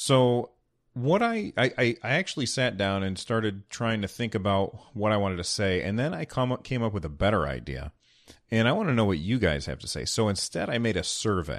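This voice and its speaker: A man with a plain, everyday voice talks at a fairly quick pace and fairly low pitch. His intonation is lively, and the background is quiet. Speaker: podcast host. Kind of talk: casual podcast monologue with news and ad reads. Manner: relaxed, conversational, with filler words.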